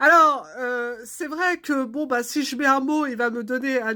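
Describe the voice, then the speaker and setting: A woman's raised, projected voice with a bright, sharp tone. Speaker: art therapist and artist. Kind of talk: casual comic monologue. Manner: hesitant, many fillers.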